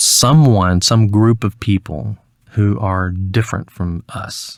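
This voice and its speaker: A man's fairly low voice at a very slow pace, with ordinary pitch variation, in a very clean recording with a silent background and a dry, close sound with no echo. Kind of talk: interview answer. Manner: mellow, smooth.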